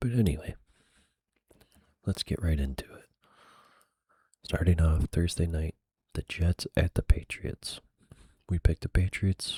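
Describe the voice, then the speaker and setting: In a relaxed, dark, mellow tone, a man with a very deep, low pitch speaks somewhat breathily with ordinary pitch variation and long, frequent pauses, the sound dry and close with no echo. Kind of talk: ASMR sports recap and picks, casual talk to camera. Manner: soft-spoken, relaxed.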